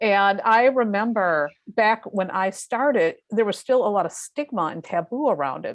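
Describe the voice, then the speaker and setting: In an ordinary speaking voice, the talker moves at a moderate pace with hardly any pauses and lively intonation against a quiet background. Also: woman, fairly high pitch for a woman. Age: 50s. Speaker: tarot reader and astrologer. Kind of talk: interview conversation.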